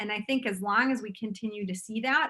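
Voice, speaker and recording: Fairly quick speech in a strong Minnesotan accent, with fairly even intonation. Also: woman. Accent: thick Minnesotan. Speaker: realtor. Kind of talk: interview.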